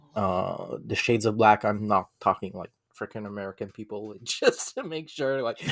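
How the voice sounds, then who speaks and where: A man speaks with a non-native accent, his loudness swinging widely. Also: moderate pace. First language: not English. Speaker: podcast guest. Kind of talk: casual chat.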